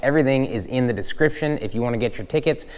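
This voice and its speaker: Speaking very fast, a man keeps his pitch varying in an ordinary way. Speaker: channel host. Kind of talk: promotional talk to camera. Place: workshop.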